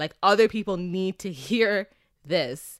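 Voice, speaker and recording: A woman talks loudly with a Canadian accent and an energetic tone. The sound is dry and close, with no echo. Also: very clean recording, silent background. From Canada, Toronto. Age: 20s. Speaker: podcast host. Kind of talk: casual solo monologue. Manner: loud, energetic.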